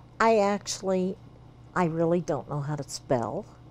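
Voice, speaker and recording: A woman's fairly low-pitched voice with lively intonation, over a quiet background. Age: 70s. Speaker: coffee shop owner. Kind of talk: interview. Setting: coffee shop. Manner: halting.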